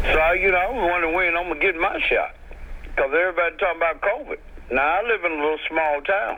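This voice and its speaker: Under noticeable background noise, a man with a high pitch talks at a very fast pace, his loudness very even and his pitch variation ordinary. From US South. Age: 60s. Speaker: caller. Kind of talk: phone-in question. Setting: phone call.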